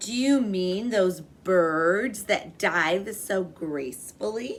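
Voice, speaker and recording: A woman performs a loud, put-on character voice at medium pitch and a very slow pace. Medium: read story. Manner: loud, hearty.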